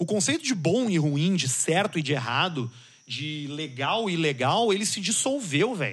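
Speaking at a moderate pace, a man with a high-pitched voice makes very wide pitch swings. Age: 30s. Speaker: communicator, podcaster. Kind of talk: casual chat.

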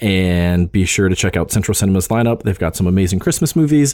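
A man's dark, mellow voice moves at a fairly quick pace with lively intonation. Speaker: movie podcast host. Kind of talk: casual banter, movie review podcast. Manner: quiet, gentle mumbler.

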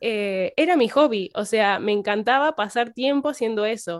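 On a very clean recording with a silent background, a woman talks at a moderate pace in a fairly high voice with lively intonation. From Argentina, Santa Fe province. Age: young. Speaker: religion teacher and community manager. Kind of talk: podcast interview. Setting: at home.

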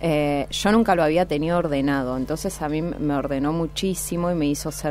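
Against noticeable background noise, a woman with a very deep, low voice talks at a moderate pace with fairly even intonation. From Santa Fe province, Argentina. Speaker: fashion designer and entrepreneur. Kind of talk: interview.

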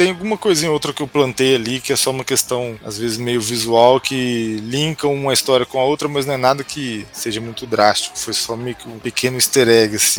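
There is noticeable background noise behind this man's voice. He talks at a moderate pace with hardly any pauses and ordinary pitch variation. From interior of São Paulo state, Brazil (Franca). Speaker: comic book author. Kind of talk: podcast interview.

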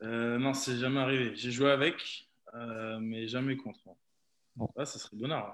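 A man speaks at a medium pitch and a fairly slow pace, with fairly even intonation. His loudness swings a lot, and his pauses are long and frequent. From Burgundy / Nièvre, France (Neuvy-sur-Loire). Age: 20s. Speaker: professional rugby player. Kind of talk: interview.

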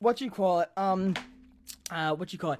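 In an American accent, a high-voiced man talks at a fairly quick pace with lively intonation. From US Northeast, Brooklyn, New York. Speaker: podcast host and streamer. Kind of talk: casual chat. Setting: live stream with face cam. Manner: animated, varies tone a lot.

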